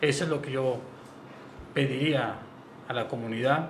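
A man speaks with a fairly high pitch and fairly even intonation. There is noticeable background noise and audible room echo. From Oaxaca, Mexico. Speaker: tourism business executive. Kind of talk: radio interview.

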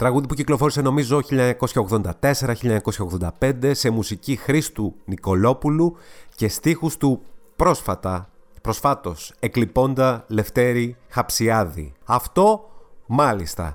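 A man speaks very slowly at a medium pitch with lively intonation and very even loudness. The recording is very clean, with a silent background. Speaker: podcast host and music presenter. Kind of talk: casual solo commentary podcast.

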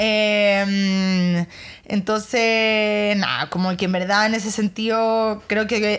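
In a Chilean accent, a woman with a fairly high pitch speaks in a monotone, flat intonation on a very clean recording with a silent background. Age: 30s. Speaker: lawyer, model and influencer. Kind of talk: casual interview chat.

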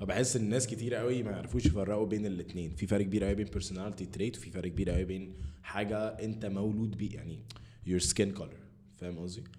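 A dark, mellow voice goes at a very fast pace with ordinary pitch variation, and room echo is audible. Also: man, fairly low pitch for a man. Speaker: podcast host. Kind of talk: casual chat.

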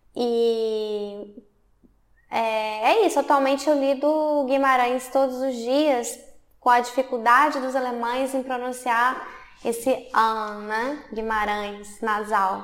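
Amid audible room echo, a woman speaks at a very slow pace. Her pitch is high and her intonation fairly even. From Brazil, Belo Horizonte, Minas Gerais. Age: 30s. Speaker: artist and film student. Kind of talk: interview. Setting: art university building.

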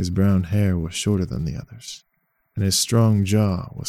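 Fairly even intonation marks an unforced reading voice heard over a quiet background.

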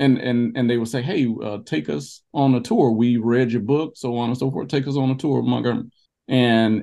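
A man's medium-pitched voice with a dark, mellow tone, an Alabama accent and a moderate pace. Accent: Southern US (Alabama). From US South, southwest Alabama. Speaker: history tour company founder. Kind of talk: casual interview. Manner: halting, many repetitions.

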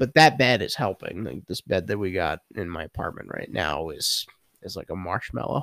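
A man with a New York accent and a very deep, low pitch speaks at a moderate pace, with very wide pitch swings and big swings in loudness, in a dry, close sound with no echo. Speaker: podcast host. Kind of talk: casual chat. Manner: joking, laughs often.

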